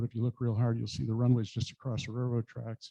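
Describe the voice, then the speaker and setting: A man speaks at a medium pitch with a dark, mellow tone. The sound is dry and close with no echo. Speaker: aviation business owner, club speaker. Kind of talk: club talk with slides. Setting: meeting with audience. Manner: halting, many fillers.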